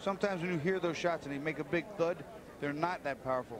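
Energetic in tone, a man speaks at a very fast pace in a high pitch. Noticeable background noise can be heard. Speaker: boxing analyst. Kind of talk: live commentary. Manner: analytical, conversational, energetic ringside analysis.

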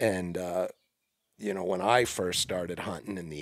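A man speaks at a slow pace. His pitch is low. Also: fairly bright tone.

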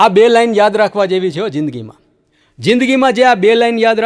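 The speaker is a man. The background is quiet. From Gujarat, India. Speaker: stand-up comedian. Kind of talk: stand-up. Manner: animated. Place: studio. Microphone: studio mic.

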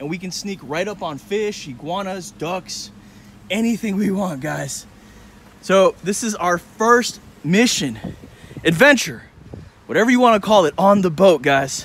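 A man speaks at a fairly slow pace with long, frequent pauses, lively intonation, and big swings in loudness, in a dry sound with no echo and light background noise. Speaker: vlogger. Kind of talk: casual vlog chat. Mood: excited, upbeat. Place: street. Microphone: phone near.

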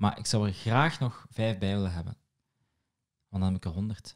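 A man with a Moroccan accent speaks at a fairly slow pace in a fairly low pitch, his tone dark and mellow, with ordinary pitch variation against a quiet background. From Morocco. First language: Moroccan Arabic (speaking Dutch). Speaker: podcast host and comedy writer; podcast host. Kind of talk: casual chat. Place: home room. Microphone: studio mic.

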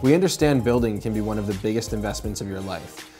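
Music in the background behind a man with a fairly low pitch. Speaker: company founder giving a voice-over. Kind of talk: corporate narration.

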